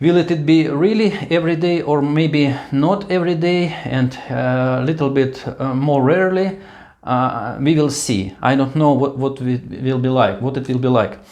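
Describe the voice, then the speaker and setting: A man with a Russian accent speaks at a fairly slow pace with hardly any pauses, his fairly high voice showing ordinary pitch variation against audible room echo. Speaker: vlogger. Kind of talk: casual monologue. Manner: halting.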